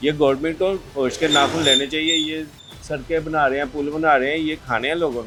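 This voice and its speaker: A man talks with a fairly high pitch and fairly even intonation. Music plays in the background. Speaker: market trader. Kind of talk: vox pop interview answer.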